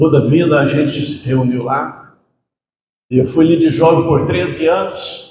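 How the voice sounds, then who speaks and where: In a plain, everyday voice, a man speaks fairly slowly with a fairly high pitch and fairly even intonation. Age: 60s. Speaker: preacher. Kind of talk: sermon. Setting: church.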